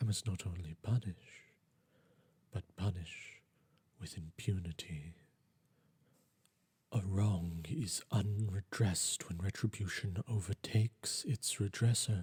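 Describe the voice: With a low pitch, a slightly mellow tone and a husky, rough edge, a man talks slowly with ordinary pitch variation and long, frequent pauses.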